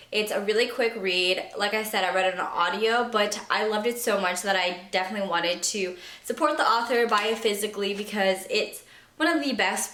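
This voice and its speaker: The speech moves at a moderate pace with very even loudness and ordinary pitch variation, over noticeable background noise and audible room echo. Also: woman. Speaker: book youtuber. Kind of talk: casual vlog monologue.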